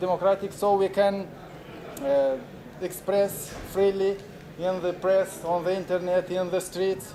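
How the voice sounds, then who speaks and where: Monotone, flat intonation at a fairly slow pace, with long, frequent pauses and noticeable background noise. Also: man, high pitch for a man. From Moldova. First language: Romanian. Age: 40s. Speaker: activist and filmmaker. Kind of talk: conference talk. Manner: halting, many fillers.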